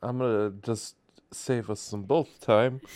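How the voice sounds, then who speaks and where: Mumbling at a fairly slow pace, a man speaks in a fairly low pitch with ordinary pitch variation. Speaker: podcast co-host. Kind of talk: casual chat.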